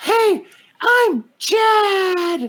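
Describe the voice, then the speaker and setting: A squeaky, put-on character voice pitched extremely high. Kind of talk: casual slang. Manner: laid-back, dude-like.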